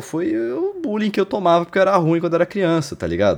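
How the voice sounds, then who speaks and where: A man's high-pitched voice. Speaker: podcast co-host. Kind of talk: casual chat. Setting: remote recording, not in the same place.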